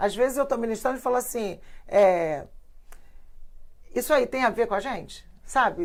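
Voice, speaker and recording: With a high pitch and lively intonation, a woman talks at a moderate pace, broken by long, frequent pauses. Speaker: pastor. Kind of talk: casual chat. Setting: live stream.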